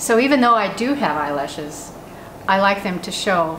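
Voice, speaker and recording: A woman's medium-pitched voice comes through with noticeable background noise and audible room echo. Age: 70s. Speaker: style blogger. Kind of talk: casual chat.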